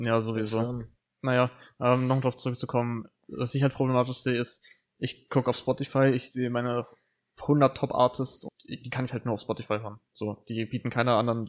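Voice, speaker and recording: A man talks at a fairly quick pace in a monotone, flat intonation. The sound is dry and close, with no echo. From northern Germany, Lower Saxony (Brake). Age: 19. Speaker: podcast co-host, gamer. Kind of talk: casual chat. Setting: club room. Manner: hesitant, many fillers.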